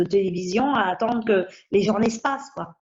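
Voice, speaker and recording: A woman is speaking. Her voice sits at a fairly high pitch. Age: 60s. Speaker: patient advocate with rare bone disease. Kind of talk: interview testimony. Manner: hesitant, with fillers.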